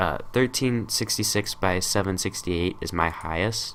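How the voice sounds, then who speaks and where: This man talks with a somewhat low voice. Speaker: tutorial youtuber. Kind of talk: tutorial. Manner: casual, many fillers.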